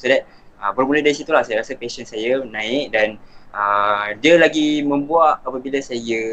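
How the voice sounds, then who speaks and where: A man talks at a fairly slow pace in an unremarkable speaking voice. His intonation stays fairly even. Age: 20s. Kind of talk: casual chat. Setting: live online stream. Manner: relaxed, mixes English words.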